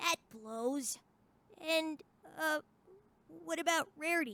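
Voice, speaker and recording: A put-on character voice, female-sounding and high-pitched, at a fairly slow pace. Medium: audio drama. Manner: casual, slangy, energetic.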